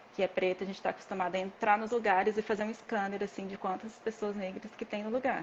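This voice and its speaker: A woman's medium-pitched, flat, monotone voice at a very fast pace, with noticeable background noise. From Brazil. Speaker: dispensary worker, former massage therapist. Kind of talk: interview.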